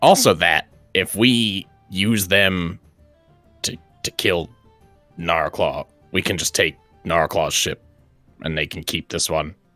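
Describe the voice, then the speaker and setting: A man's put-on character voice, very deep and low, at a fairly slow pace with long, frequent pauses and faint music in the background. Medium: actual play. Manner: sardonic, profane.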